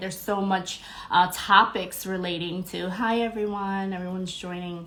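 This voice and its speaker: There is noticeable background noise and audible room echo. Through it, a woman talks at medium pitch. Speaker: spirituality podcast host. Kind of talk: casual livestream chat.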